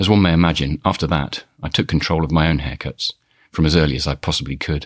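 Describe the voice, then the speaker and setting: Vocal fry and a Birmingham accent mark this fairly quick, monotone delivery with flat intonation. The recording is very clean and dry, close with no echo, over a silent background. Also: man. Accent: Birmingham (Brummie). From Birmingham, England. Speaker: podcast host. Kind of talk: scripted personal storytelling.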